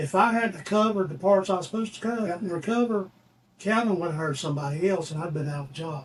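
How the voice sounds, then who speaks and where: A man with a Southern US accent, high pitch, ordinary pitch variation and a very fast pace, with noticeable background noise. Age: 60s. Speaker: musician. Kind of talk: casual chat. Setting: studio. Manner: halting.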